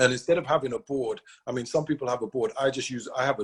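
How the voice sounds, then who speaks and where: A man's somewhat breathy voice at medium pitch, with ordinary pitch variation. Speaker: sales team leader. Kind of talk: motivational talk. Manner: fast.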